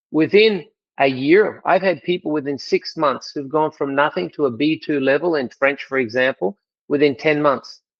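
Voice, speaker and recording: Here a man speaks with an Australian accent. His pace is moderate and his pitch variation ordinary. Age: 60s. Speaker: language school executive. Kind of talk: interview.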